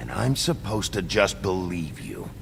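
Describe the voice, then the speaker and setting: A put-on character voice at a moderate pace amid loud background noise. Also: man, very deep, low pitch for a man. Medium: video game. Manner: terse, gruff.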